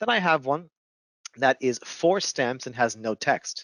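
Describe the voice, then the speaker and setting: The background is quiet. The sound is dry and close, with no echo. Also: man. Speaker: software instructor. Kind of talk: webinar tutorial. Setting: online webinar with headset. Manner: fast.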